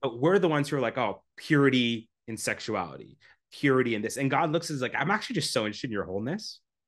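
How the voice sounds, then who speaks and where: A man with a Canadian accent speaks very fast in an energetic tone with lively intonation. The background is quiet. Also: medium pitch for a man. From Canada. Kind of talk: casual interview chat. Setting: video call.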